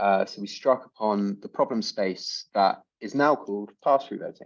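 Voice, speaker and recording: A man with an English accent, big swings in loudness, a moderate pace and a quiet background. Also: medium pitch for a man, lively intonation. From France (Alps), English. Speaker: startup co-founder. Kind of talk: casual self-introduction.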